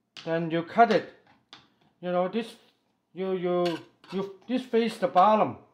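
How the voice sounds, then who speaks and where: Light background noise sits under delivery that proceeds at a very slow pace. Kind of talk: tutorial. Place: kitchen.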